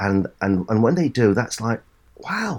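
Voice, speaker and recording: Vocal fry and lively intonation at a moderate pace, on a very clean recording with a silent background. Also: man. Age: 60s. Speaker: serial entrepreneur and business advisor. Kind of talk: interview. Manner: halting, frequent repeated words.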